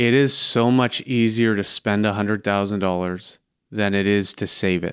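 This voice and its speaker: The recording is very clean, with a silent background. A man with an unremarkable speaking voice talks at a fairly low pitch, moderate pace and fairly even intonation. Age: 30s. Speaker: podcast host and financial advisor. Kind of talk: interview.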